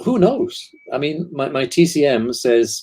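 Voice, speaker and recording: This man speaks with a British accent. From Britain. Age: 70s. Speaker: author and guest expert. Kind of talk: casual panel discussion.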